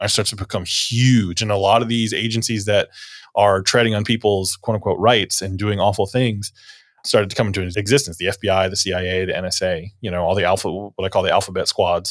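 A man with an American accent talks at a fairly quick pace in an ordinary speaking voice. His pitch is fairly low and his intonation fairly even. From US South, northeast Florida. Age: 40s. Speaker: church deacon and blog writer. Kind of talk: casual interview conversation.

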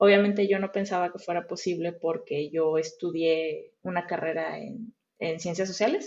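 A woman speaks in a normal speaking voice at a moderate pace, her fairly low pitch carried on fairly even intonation with hardly any pauses. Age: 30s. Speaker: front-end web developer. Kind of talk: interview.

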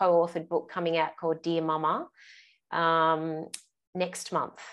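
A woman with an Australian accent, fairly low in pitch, at a moderate pace against a quiet background. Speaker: parenting coach, guest. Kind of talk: casual interview.

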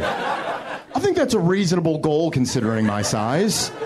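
A man with an American accent talks at a moderate pace, fairly high in pitch and with very wide pitch swings. Audible room echo and noticeable background noise surround him. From Detroit. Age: 30s. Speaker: comedian. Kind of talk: stand-up. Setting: stage with audience.

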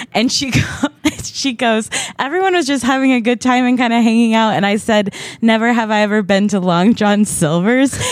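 Fairly high female voice at a moderate pace and very even loudness, with noticeable background noise. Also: ordinary pitch variation. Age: 30s. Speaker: comedian. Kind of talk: casual chat.

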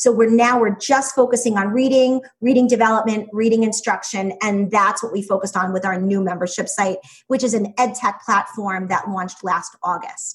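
A woman talks at a moderate pace with hardly any pauses. Her somewhat breathy voice sits at a fairly high pitch with ordinary pitch variation. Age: 40s. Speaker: education business founder, former teacher. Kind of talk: interview.

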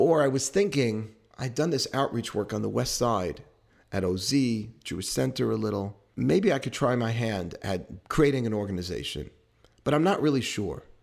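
In a New York accent, a man with a medium pitch speaks at a moderate pace with lively intonation on a very clean recording with a silent background. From New York City, Queens. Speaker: rabbi. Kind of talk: interview.

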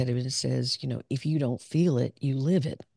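A woman with a Southern US accent and a very deep, low pitch speaks at a moderate pace with fairly even intonation, in a dry, close sound with no echo against a quiet background. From US South, southern Arkansas. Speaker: clinical psychologist. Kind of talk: interview conversation.

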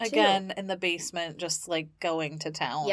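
Here is a woman with an ordinary speaking voice. Her pitch is fairly low, with ordinary pitch variation. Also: moderate pace. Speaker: podcast co-host. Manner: casual, conversational, reactive.

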